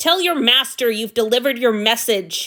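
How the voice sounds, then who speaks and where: In a put-on character voice, a woman growls in a gruff, raised, projected voice at a high pitch and a moderate pace. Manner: growling, gruff.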